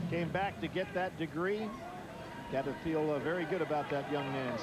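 The speech runs at a fairly quick pace with ordinary pitch variation. Loud background noise is present, and the sound is dry with no echo. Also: man. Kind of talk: commentary. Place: stadium. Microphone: headset.

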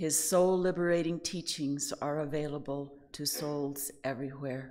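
The woman talks at a fairly slow pace. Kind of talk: sermon. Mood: warm, gentle, smiling. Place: hall. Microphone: podium.

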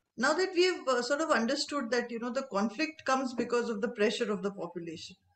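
A high-pitched woman talks at a very fast pace with lively intonation, over light background noise and audible room echo. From India. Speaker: interviewer. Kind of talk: interview. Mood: warm, smiling. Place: home room. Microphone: video call.

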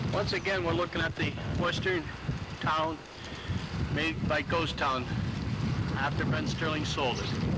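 A man at a fairly slow pace, with long, frequent pauses over loud background noise. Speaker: park insider giving tour. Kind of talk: casual walking tour commentary. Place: open country. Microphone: old recording.

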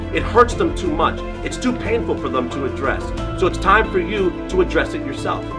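Clear music plays in the background as a man speaks at a fairly quick pace. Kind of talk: direct-to-camera monologue. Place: gym.

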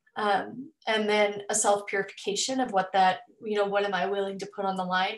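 Speaking at a moderate pace in an American accent, a woman keeps a medium pitch and a monotone, flat intonation while the room echo is audible. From Southeast Missouri. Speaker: teacher and PhD candidate; teacher, candidate. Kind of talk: webinar presentation. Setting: video call. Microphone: webcam.

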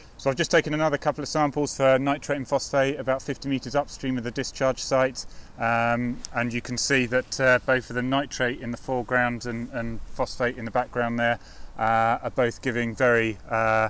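The sound is dry with no echo. A man speaks at a moderate pace in a monotone, flat intonation. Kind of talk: field explanation. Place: waterside.

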